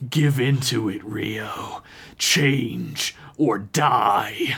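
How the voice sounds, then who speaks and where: At a very slow pace, a man puts on a character voice at medium pitch. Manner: hateful, menacing.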